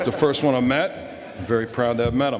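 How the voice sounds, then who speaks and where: Noticeable background noise fills the clip. Through it, a man talks at a medium pitch. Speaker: air traffic controller. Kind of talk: awards ceremony speech.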